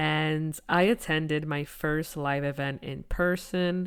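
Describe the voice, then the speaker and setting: A woman's very deep, low-pitched voice with fairly even intonation on a very clean recording with a silent background. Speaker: podcast host. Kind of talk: podcast intro monologue.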